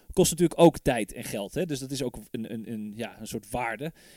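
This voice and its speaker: A man with an ordinary speaking voice talks at a fairly quick pace and fairly high pitch. The sound is dry and close with no echo. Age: 30s. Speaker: podcast host. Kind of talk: casual chat.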